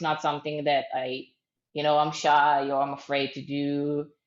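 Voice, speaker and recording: A woman speaks with an Israeli accent. Her pitch is very deep and low. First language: Hebrew. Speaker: startup founder. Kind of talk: interview. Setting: video call. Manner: hesitant, many fillers.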